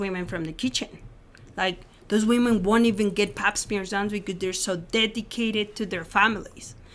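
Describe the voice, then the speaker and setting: A woman with a Spanish accent talks at a fairly quick pace. Her medium-pitched voice has fairly even intonation. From Mexico City, Mexico. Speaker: former clinic worker turned pro-life advocate. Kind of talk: interview testimony.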